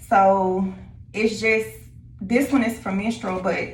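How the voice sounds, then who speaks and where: The pace is very slow, and the voice is somewhat breathy with fairly even intonation. Audible room echo surrounds the speech. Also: woman. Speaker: lifestyle vlogger. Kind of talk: casual vlog chat. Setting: at home. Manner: hesitant with many fillers.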